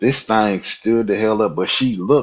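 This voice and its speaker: Speaking in a normal speaking voice with an American accent, a man has a fairly low pitch and ordinary pitch variation. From Nebraska.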